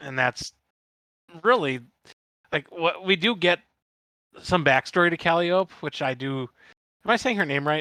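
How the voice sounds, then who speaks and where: In a dry, close recording with no echo, a man with a Midwestern US accent speaks at a high pitch in a bright, sharp tone with lively intonation. He keeps a moderate pace but takes long, frequent pauses. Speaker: podcast guest co-host. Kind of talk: casual chat. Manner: halting.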